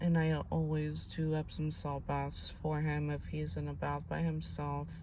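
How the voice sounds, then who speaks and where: A woman speaks quietly, with audible room echo around her voice. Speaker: spiritual channel host, tarot/energy reader. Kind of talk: casual monologue to camera. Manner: quiet, low-volume speech; rambling, with many fillers.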